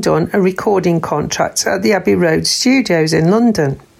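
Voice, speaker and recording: Through noticeable background noise, a woman speaks with lively intonation. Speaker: newsreader. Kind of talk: newsreading, local bulletin read aloud. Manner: steady, formal, even-paced.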